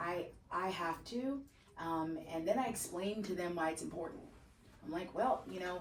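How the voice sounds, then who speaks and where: A woman with a fairly low, animated voice and ordinary pitch variation speaks amid noticeable background noise and audible room echo. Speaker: real estate agent. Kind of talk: training session. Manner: fast.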